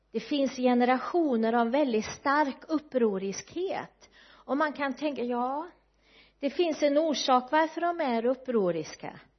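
Very slow, high-pitched female speech with ordinary pitch variation. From west coast Sweden, Kungshamn in Bohuslän. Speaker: guest preacher. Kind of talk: sermon.

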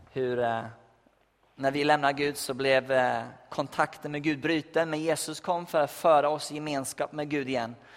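At a moderate pace, a man talks in a monotone, flat intonation with a fairly high pitch. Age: 20s. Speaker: youth pastor. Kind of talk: sermon. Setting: church. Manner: halting.

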